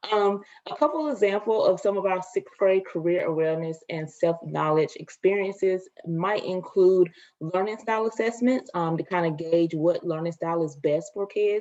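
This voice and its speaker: With a slight Southern US accent, a woman speaks at a medium pitch with ordinary variation. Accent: rural Southern (country), slight. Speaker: education consultant. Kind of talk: webinar presentation. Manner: fast.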